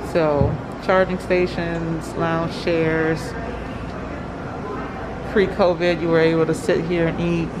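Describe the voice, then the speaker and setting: A woman talking at a very slow pace over noticeable background noise. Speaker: vlogger mother. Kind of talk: casual vlog chat. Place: hall. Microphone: phone near.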